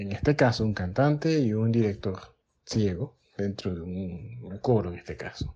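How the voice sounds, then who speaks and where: Lively intonation marks this man's speech, delivered at a fairly slow pace. He has a Panamanian accent. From Panama, Colón. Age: 40s. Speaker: music teacher and choir director. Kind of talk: interview. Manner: halting, with repetitions.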